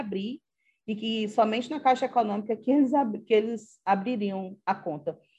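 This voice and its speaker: Against a quiet background, a woman with a fairly high pitch and a dark, mellow tone speaks at a moderate pace. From Acre, Brazil. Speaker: history professor. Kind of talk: interview. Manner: halting.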